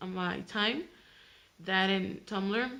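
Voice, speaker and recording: In a Mexican accent, a woman with a medium pitch speaks at a moderate pace and ordinary pitch variation. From Mexico, Tijuana. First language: Spanish. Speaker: vlogger. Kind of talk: casual vlog introduction. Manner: halting, many fillers and restarts.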